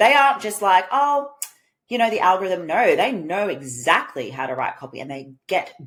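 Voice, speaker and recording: A woman talks at a moderate pace with a medium pitch. Her tone is animated, with very wide pitch swings. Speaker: business coach and podcast host. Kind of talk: solo podcast monologue.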